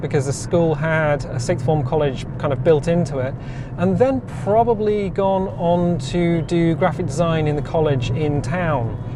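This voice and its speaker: With an Oxford accent and ordinary pitch variation, a man speaks amid audible room echo and noticeable background noise. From Oxfordshire, southern England. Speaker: vlogger. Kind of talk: casual chat. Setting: in a car.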